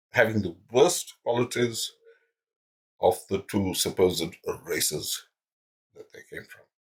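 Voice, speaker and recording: Somewhat breathy and fairly slow, the voice has lively intonation, big swings in loudness and long, frequent pauses. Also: man, medium pitch for a man. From India, Delhi. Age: 60s. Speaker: YouTuber. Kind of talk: monologue. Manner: halting.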